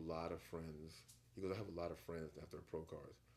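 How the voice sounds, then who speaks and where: A very fast man's voice with a very deep, low pitch, vocal fry and an American accent. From Virginia Beach, Virginia. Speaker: gym owner. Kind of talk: casual chat.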